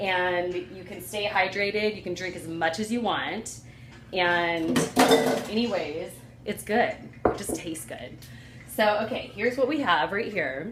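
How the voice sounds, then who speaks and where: Delivered at a fairly slow pace with long, frequent pauses, the speech has ordinary pitch variation, noticeable background noise and audible room echo. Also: woman, medium pitch for a woman. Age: 40s. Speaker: cooking and health vlogger. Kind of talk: casual tutorial. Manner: casual, chatty with fillers.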